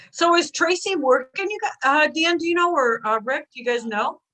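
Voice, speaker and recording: A woman speaks in a raised, projected voice with a bright, sharp tone. Her pitch swings very widely at a moderate pace. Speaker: guest on a chat show. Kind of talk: casual chat. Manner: loud.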